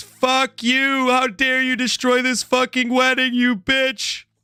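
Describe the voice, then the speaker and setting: A man shouts in a put-on character voice at an extremely high pitch. He goes at a fairly slow pace with monotone, flat intonation. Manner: furious, yelling.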